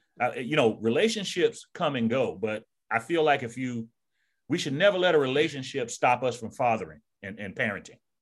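On a very clean recording with a silent background, a man with a plain, everyday voice and a medium pitch talks at a fairly quick pace with lively intonation. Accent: American. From US South, Savannah, Georgia. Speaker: retired army sergeant major and author. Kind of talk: casual interview conversation.

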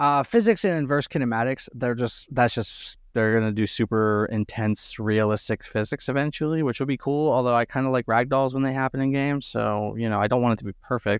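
A man with an unremarkable speaking voice talks at a fairly quick pace with hardly any pauses, using a medium pitch and ordinary pitch variation. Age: 30s. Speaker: podcast host. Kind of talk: casual chat.

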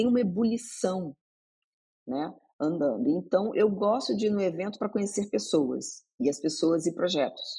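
Fairly slow speech from a woman, her pitch swinging very widely. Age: 50s. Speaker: journalist. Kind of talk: podcast interview. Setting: studio.

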